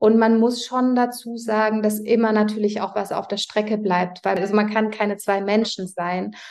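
The woman's pitch is fairly high and her intonation monotone and flat. She talks at a moderate pace with hardly any pauses. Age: 40s. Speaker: prenatal yoga teacher and business owner. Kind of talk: interview.

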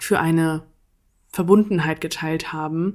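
A woman with a fairly low pitch speaks at a fairly slow pace in a very clean recording with a silent background. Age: 20s. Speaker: podcaster and student. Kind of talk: casual personal monologue.

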